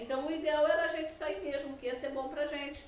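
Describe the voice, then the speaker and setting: A woman's high-pitched voice comes through noticeable background noise and audible room echo. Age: 60s. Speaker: former bank employee. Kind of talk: testimony.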